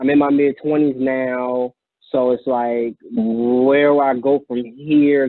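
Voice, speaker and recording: With an American accent, a man speaks fairly slowly at a medium pitch in a monotone, flat intonation. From New York (Jamaica, Queens). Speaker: attorney. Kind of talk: casual interview. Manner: conversational, hesitant fillers.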